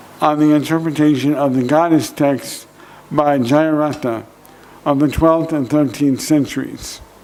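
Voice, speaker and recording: A fairly high-pitched man with an American accent speaks fairly slowly in a monotone, flat intonation at a very even loudness, with audible room echo. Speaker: professor. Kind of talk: conference lecture. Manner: slow, careful; hesitant, many fillers.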